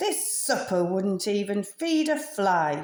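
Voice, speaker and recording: A put-on character voice, growling and gruff, moves at a fairly slow pace. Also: woman. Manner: growling, gruff.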